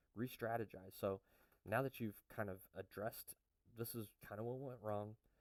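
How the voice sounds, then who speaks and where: A man at a moderate pace, in a dry, close sound with no echo. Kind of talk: casual talk to camera. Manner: hesitant, many fillers.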